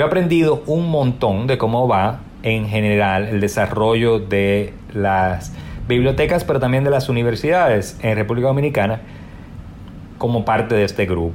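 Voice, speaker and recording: A man with a medium pitch talks at a moderate pace, his intonation lively and his loudness very even. Noticeable background noise and audible room echo surround him. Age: 40s. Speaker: digital humanities librarian. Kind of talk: interview.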